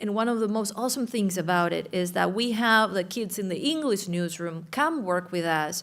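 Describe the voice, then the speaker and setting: A woman's medium-pitched voice with a strong Uruguayan accent and lively intonation, at a moderate pace with hardly any pauses. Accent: thick Spanish (Uruguayan). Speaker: journalism professor. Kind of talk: panel discussion.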